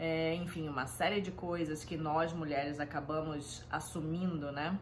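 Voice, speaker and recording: A woman's very deep, low pitch with audible room echo. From Rio de Janeiro, Brazil. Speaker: home organization consultant. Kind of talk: casual self-introduction talk. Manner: hesitant, many fillers.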